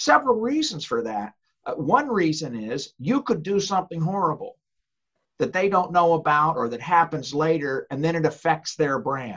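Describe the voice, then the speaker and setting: At a moderate pace, a man talks at a fairly high pitch with very wide pitch swings. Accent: American. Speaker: author, former lawyer, ghostwriting publisher. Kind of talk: casual interview.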